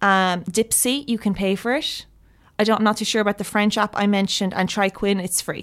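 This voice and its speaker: A woman's ordinary speaking voice at a medium pitch with fairly even intonation, in a very clean recording with a silent background. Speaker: writer and graduate student. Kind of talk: casual interview. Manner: casual, uses 'like' a lot.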